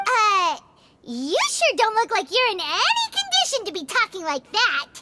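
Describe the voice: A squeaky, cartoonish character voice at extremely high pitch and a moderate pace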